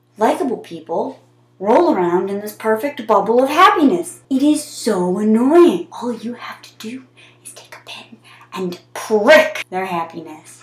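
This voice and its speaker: A woman talks at a fairly high pitch with very wide pitch swings and big jumps in loudness, over noticeable background noise. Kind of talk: comedic monologue to camera. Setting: bathroom, built-in mic.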